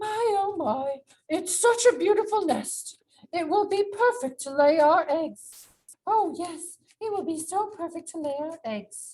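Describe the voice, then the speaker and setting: In a cartoonish character voice, a woman talks at a fairly slow pace with extremely high pitch, lively intonation and big swings in loudness. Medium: puppet.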